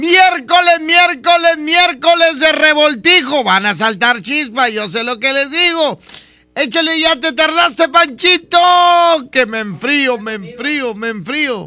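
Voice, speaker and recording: Speaking very slowly in a raised, projected voice, a man uses an extremely high pitch, a bright, sharp tone and lively intonation. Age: 40s. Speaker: radio DJ. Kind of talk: radio show hosting. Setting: studio. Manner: animated.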